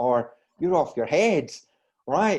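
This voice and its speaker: A man speaks with a Scottish accent at a fairly slow pace. His tone is dark and mellow. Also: quiet background. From Scotland, Glasgow. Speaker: wellness coach. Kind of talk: podcast interview. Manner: halting, repeats words.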